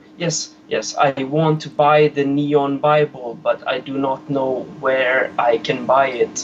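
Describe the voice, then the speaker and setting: Very slow speech with a non-native accent, fairly even intonation and hardly any pauses, over noticeable background noise. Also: man, fairly high pitch for a man. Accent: foreign. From Sweden. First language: Swedish. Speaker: caller. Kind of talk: phone call to live show. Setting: phone call. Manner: halting.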